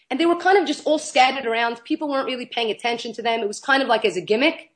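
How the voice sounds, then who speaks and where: The background stays quiet. A woman's voice carries an animated tone. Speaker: nonprofit founder and teacher. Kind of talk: interview.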